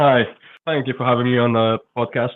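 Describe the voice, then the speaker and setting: Speaking at a moderate pace, a man with a slight Scottish accent uses a medium pitch. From Scotland. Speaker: football writer. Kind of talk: podcast interview.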